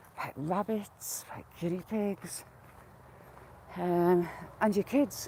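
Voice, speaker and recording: Somewhat breathy, dark and mellow tones from a woman. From UK. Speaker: vlogger. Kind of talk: casual chat. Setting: outdoors. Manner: casual.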